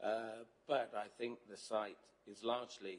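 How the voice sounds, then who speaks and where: Fairly low pitch from a male speaker. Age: 70s. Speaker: planning officer. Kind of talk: committee meeting answer. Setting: council chamber, broadcast live. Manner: formal, hesitant with fillers.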